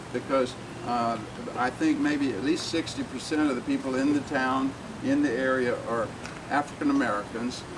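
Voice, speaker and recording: At a moderate pace, a man with an Alabama accent speaks at a medium pitch with fairly even intonation, amid noticeable background noise and audible room echo. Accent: Southern US (Alabama). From US South, Alabama. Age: 70s. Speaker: civil rights activist. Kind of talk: public speech. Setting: community event with audience.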